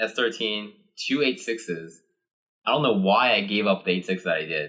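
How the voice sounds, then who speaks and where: This man has a Japanese accent and a bright, sharp tone. His intonation is lively. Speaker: car builder, podcast co-host. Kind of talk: casual chat. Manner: casual, filler-heavy.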